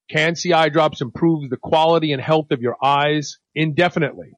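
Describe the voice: A man talks at a moderate pace with fairly even intonation. His pitch is fairly high.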